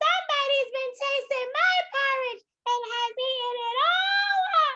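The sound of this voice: The voice is a put-on character voice pitched extremely high. It moves at a moderate pace.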